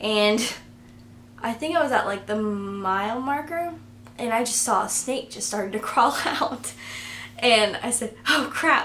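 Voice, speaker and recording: A woman mumbling at a fairly slow pace, fairly high in pitch, with ordinary pitch variation, long, frequent pauses and light background noise. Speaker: vlogger. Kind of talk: casual talk to camera. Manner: mumbling, awkward. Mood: relaxed, storytelling. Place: home room. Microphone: camera far.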